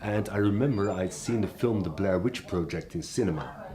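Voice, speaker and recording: Noticeable background noise accompanies a man who speaks at a moderate speed. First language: Dutch (Flemish). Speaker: horror storyteller. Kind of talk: storytelling.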